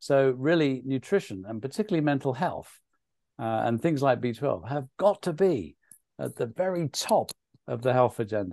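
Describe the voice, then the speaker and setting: Recorded with a dry, close sound and no echo, a man with a British accent speaks at a moderate pace in a fairly high pitch with very wide pitch swings. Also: quiet background. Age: 60s. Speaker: nutrition author and speaker. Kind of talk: webinar presentation Q&A.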